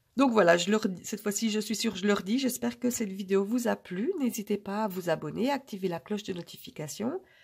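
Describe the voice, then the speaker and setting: Her voice is somewhat breathy. The woman's pitch sits in the medium range. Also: ordinary pitch variation, fairly quick pace. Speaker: budget vlogger. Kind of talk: casual vlog talk to camera. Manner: hesitant, many filler euh.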